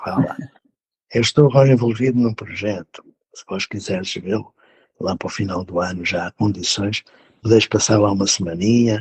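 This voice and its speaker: A man speaks at a moderate pace with a fairly low pitch and ordinary pitch variation. His voice is somewhat breathy, and the sound is dry and close with no echo. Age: 70s. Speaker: educator. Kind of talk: interview.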